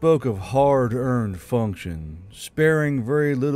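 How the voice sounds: What you hear is a natural reading voice.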